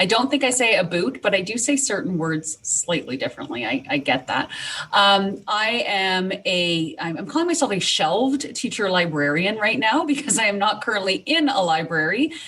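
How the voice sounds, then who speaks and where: A woman with a slight Canadian accent and medium pitch talks at a moderate pace with hardly any pauses and very wide pitch swings. Noticeable background noise is present. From Canada. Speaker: teacher librarian. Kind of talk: podcast interview. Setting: remote recording from home.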